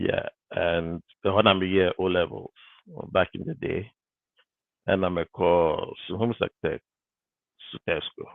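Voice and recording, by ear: A man talks slowly in a low pitch with vocal fry and fairly even intonation. The sound is dry and close, with no echo.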